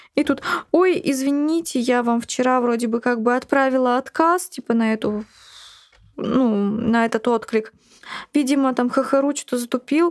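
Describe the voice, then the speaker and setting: A woman speaks with a high pitch and ordinary pitch variation. Her loudness stays very even, broken by long, frequent pauses. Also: moderate pace. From Buryatia, Russia. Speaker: blogger, mother living with HIV. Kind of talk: personal testimony interview.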